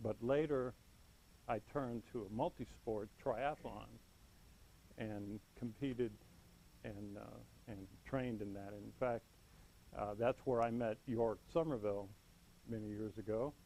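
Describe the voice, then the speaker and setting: Speaking at a fairly slow pace, a man uses a fairly low pitch and a dark, mellow tone, with fairly even intonation. His loudness swings widely, and his pauses are long and frequent. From US (Chicago, Los Angeles, Miami), Cuban family. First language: Spanish. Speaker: Toastmasters club member. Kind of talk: prepared speech. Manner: some hesitations and fillers.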